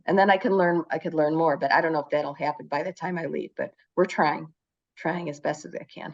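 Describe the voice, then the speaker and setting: Moderate pace from a woman with a Chicago accent. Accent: Chicago-area American. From US Midwest, Chicago area. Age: 60s. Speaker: teacher living abroad. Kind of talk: casual conversation. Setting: video call. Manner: halting.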